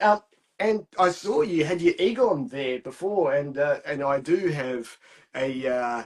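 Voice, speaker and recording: Speaking fairly slowly with an Australian accent, a man uses a fairly high pitch and lively intonation. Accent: thick Australian. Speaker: podcast guest, film fan. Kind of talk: casual chat. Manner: animated.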